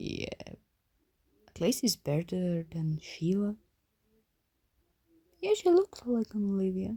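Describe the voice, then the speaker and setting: The delivery comes at a very slow pace. Long, frequent pauses break it up. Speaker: artist. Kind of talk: casual voice-over rambling about drawing. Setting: low-quality home microphone. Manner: hesitant, many filler words.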